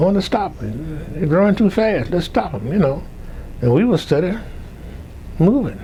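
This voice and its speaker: Over noticeable background noise, a man with a high pitch talks at a moderate pace, his pitch swinging very widely between long, frequent pauses. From Louisiana. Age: 90s. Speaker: retired professor. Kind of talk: oral history interview. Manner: halting.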